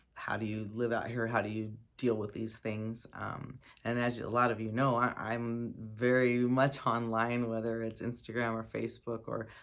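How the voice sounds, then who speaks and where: A woman speaks in an American accent with a very deep, low pitch. Her intonation is monotone and flat. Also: moderate pace. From Arizona desert, US Southwest. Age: 50s. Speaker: desert lifestyle vlogger. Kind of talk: unscripted personal testimony. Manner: halting, with repetitions.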